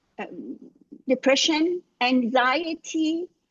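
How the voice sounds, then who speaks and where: A woman with an Iranian accent speaks at a high pitch with lively intonation. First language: Farsi. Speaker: life coach. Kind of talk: casual chat. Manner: halting.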